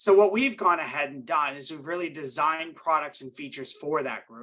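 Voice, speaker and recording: With a bright, sharp tone and a fairly high pitch, a man speaks at a fairly quick pace, using ordinary pitch variation and big swings in loudness. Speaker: cybersecurity specialist at a cyber insurer. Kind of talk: webinar presentation. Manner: fast.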